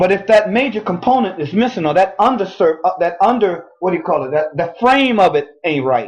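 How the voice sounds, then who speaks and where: A man with a high pitch speaks using lively intonation. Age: 60s. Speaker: talk show co-host. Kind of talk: casual chat.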